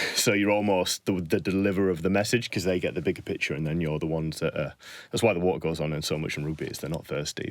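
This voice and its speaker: Very fast speech with fairly even intonation comes in a northern English accent. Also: man, very clean recording, silent background. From northern England. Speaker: strength and conditioning coach. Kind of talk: podcast interview. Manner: conversational, hesitant fillers.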